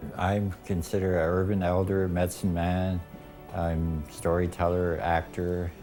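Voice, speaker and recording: Music plays in the background. The voice keeps a flat, monotone intonation. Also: man. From Canada, First Nations (Saskatchewan reserve roots). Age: 60s. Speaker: urban elder and storyteller. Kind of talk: testimony. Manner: halting.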